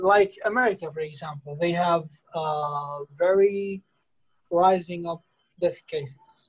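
The voice carries an Arabic accent and moves at a fairly slow pace. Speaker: English conversation club host. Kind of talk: casual conversation practice.

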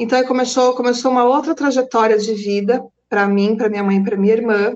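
Her voice sits fairly high, and this woman shows ordinary pitch variation. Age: 40s. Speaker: psychoanalyst and energy therapist. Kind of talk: casual interview on a live stream.

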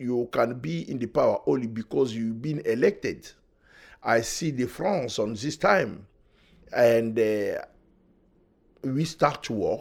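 On a very clean recording with a silent background, a man with a French accent speaks very slowly at a medium pitch, his intonation lively and his pauses long and frequent. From Democratic Republic of Congo. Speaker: refugee and human rights activist. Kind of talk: interview testimony.

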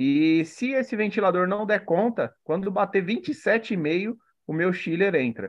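With a Brazilian accent, a man talks at a fairly slow pace using lively intonation. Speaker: aquarium hobbyist, co-host. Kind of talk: casual chat, live stream.

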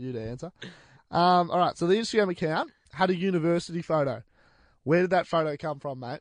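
Talking at a very fast pace with long, frequent pauses, a man uses a high pitch and an Australian accent. His loudness swings a lot against a quiet background. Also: ordinary pitch variation. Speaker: radio host. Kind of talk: casual chat. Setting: studio.

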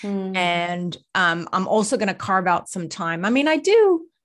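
Over a quiet background, a woman with an unremarkable speaking voice talks at a fairly slow pace and medium pitch. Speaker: holistic coach and healing practitioner. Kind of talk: casual interview chat.

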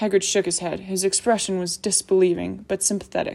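The intonation stays fairly even. Someone is reading aloud in a natural voice.

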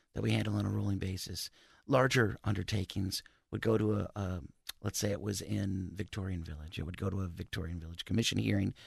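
With an American accent, a man talks fairly quickly at a very deep, low pitch with vocal fry and very wide pitch swings, over a quiet background. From US Midwest, northwest Ohio (Maumee, Toledo area). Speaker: city historic preservation planner. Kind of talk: radio interview.

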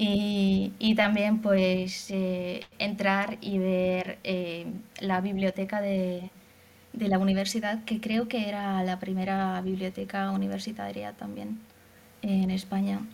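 Very slowly and in a Hungarian accent, a woman speaks at a medium pitch with monotone, flat intonation. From Hungary. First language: Hungarian (speaking Spanish). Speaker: former exchange student, translator. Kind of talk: interview.

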